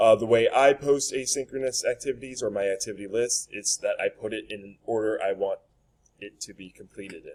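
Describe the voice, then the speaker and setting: Big swings in loudness mark a man's fairly quick delivery. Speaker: middle school social studies teacher. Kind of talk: recorded presentation for parents. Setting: recorded virtual open house.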